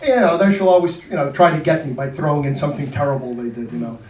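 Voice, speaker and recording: This man speaks fairly quickly, with audible room echo and noticeable background noise around him. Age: 60s. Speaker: comedian. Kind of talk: stand-up. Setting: stage with audience.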